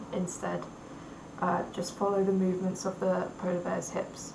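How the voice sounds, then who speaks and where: Audible room echo and noticeable background noise around a woman talking. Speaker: university student. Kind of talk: recorded class presentation. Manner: halting, with pauses and repeated sounds.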